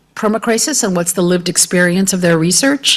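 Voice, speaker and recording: A woman speaks with an American accent. Her medium pitch shows ordinary variation. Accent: non-Irish, American. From United States. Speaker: professor, panel speaker. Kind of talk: panel talk.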